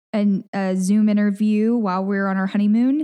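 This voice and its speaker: At a moderate pace, a woman with an American accent speaks in a medium pitch with ordinary pitch variation and a dark, mellow tone. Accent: Southern US, toned down for work. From Memphis area, Tennessee. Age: 20s. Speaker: news reporter. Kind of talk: casual interview conversation.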